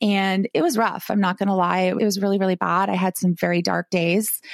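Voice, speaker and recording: An unremarkable speaking voice at a moderate pace, the sound dry and close with no echo. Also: woman. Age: 40s. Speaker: life coach. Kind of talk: casual chat.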